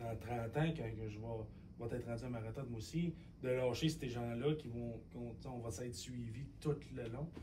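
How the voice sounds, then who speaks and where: At a moderate pace, a man with a Quebec accent speaks at medium pitch with ordinary pitch variation, amid audible room echo and noticeable background noise. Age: young. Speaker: podcast host. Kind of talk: interview conversation. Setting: studio.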